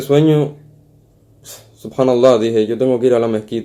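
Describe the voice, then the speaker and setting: A man of medium pitch has a dark, mellow tone. He talks at a fairly quick pace with fairly even intonation. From Canary Islands, Spain (Tenerife). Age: 20s. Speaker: convert sharing faith story. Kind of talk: interview testimony. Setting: remote call.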